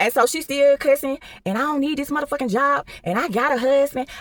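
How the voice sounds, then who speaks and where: Loud and animated, the voice moves at a fairly quick pace in a dry, close sound with no echo. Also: woman. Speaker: storyteller, store manager. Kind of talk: storytime monologue.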